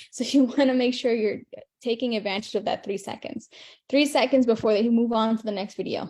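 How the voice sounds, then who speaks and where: Fairly high-pitched with a dark, mellow tone, a woman speaks at a fairly quick pace with ordinary pitch variation. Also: quiet background. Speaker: online marketing coach. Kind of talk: live stream teaching. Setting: live video stream. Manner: fast; animated.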